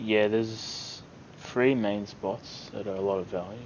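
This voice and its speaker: Amid noticeable background noise and audible room echo, a soft-spoken man talks at a fairly low pitch in a flat, monotone way. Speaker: gaming YouTuber. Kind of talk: gameplay tutorial commentary. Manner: hesitant, many fillers. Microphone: low quality mic, quiet recording.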